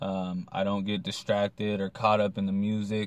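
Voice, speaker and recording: A man's voice, dry and without any echo. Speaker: vlogger. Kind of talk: casual vlog chat. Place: car. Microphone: phone near.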